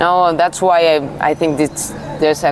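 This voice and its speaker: A woman speaks with a very deep, low pitch at a fairly slow pace. Noticeable background noise runs underneath. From Uruguay. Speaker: Ayurveda practitioner. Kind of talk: interview. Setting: outdoor festival.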